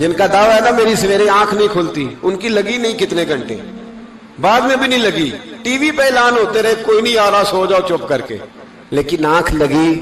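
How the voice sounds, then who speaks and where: A man talks in a high pitch with lively intonation. Noticeable background noise sits behind him. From Pakistan. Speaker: Islamic scholar and preacher. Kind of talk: religious sermon delivered to an audience. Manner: emotional, passionate, rhetorical.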